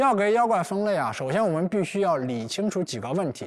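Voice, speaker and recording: A man is speaking. His pitch swings very widely. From China, rural Anhui. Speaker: writer and folklore researcher. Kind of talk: public talk at an event.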